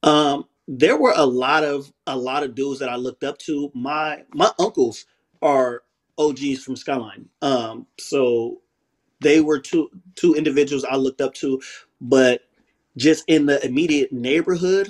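Talking at a fairly slow pace, a man with an American accent keeps his intonation fairly even. His pitch is fairly high, and the background is quiet. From southeast San Diego, California. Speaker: former prisoner and ex-gang member. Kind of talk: interview, life story. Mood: reflective storytelling about past. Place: home room. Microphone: video call.

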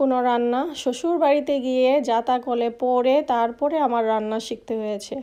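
Her intonation is fairly even, her pitch high. The woman's tone is dark and mellow. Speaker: cooking vlogger. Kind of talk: cooking tutorial. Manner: chatty.

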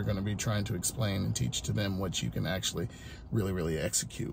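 A man speaks at a fairly quick pace in an upbeat tone, somewhat breathy. His voice is dark and mellow, with ordinary pitch variation. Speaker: food truck owner and vlogger. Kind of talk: casual vlog narration. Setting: on location at a food truck, catering a wedding. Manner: casual, upbeat, conversational.

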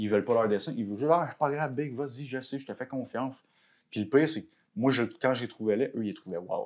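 A man talks at a fairly quick pace with a Quebec accent and a medium pitch. His pitch varies in an ordinary way against a quiet background. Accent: Québécois French. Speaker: tattoo artist; podcast guest. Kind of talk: casual chat. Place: home room. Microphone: lapel.

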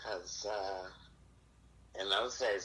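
A man's bright, sharp voice with audible room echo. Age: 70s. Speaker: suspected predator on phone. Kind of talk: casual phone chat. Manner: halting.

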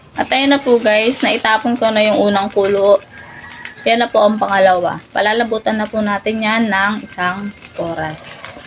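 Over noticeable background noise, a woman talks at a moderate pace, fairly high in pitch with fairly even intonation. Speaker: cooking vlogger. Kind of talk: cooking tutorial.

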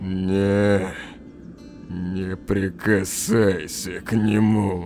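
A put-on character voice speaks at a very slow pace with long, frequent pauses and monotone, flat intonation. Clear music plays in the background. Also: man, fairly low pitch for a man.

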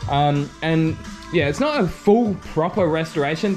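The speech goes at a moderate pace with clear music in the background. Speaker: channel host. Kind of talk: casual vlog chat. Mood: relaxed and pleased. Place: garage. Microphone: phone near.

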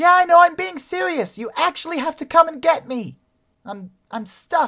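An extremely high, whiny, female-sounding put-on character voice. It moves at a moderate pace. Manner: whiny, panicky.

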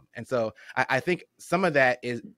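In an unremarkable speaking voice, a man talks at a medium pitch and a moderate pace. The sound is dry with no echo, over a quiet background. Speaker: podcast host. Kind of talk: casual chat. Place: home room. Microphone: studio mic.

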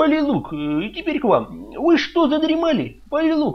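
Putting on a character voice, a man speaks at a moderate pace with an extremely high pitch and very wide pitch swings while faint music plays in the background.

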